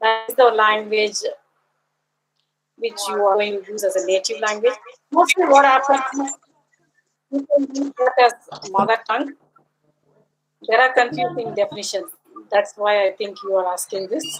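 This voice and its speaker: Speaking with a Tamil accent, a woman has a fairly high pitch and lively intonation. Her pauses are long and frequent. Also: moderate pace. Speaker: linguist. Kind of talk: academic Q&A.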